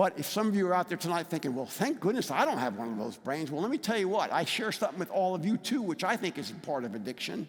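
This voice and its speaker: Very fast and high-pitched, a man speaks with an American accent. His pitch swings very widely. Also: hardly any pauses. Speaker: recovery advocate speaker. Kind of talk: public talk.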